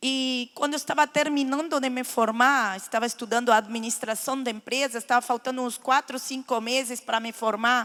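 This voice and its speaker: In a very clean recording with a silent background, a woman speaks in a high pitch with ordinary pitch variation. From Lebanon, raised in Argentina. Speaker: guest speaker giving testimony. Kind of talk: testimony. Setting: church.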